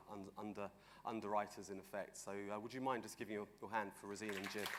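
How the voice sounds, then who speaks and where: The man's voice has a fairly low pitch. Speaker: event MC. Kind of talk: event introduction. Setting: stage with live audience. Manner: fast; hesitant, many fillers.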